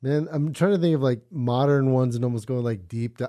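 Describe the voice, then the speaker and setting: A man's ordinary speaking voice at a medium pitch, with lively intonation. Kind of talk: casual chat.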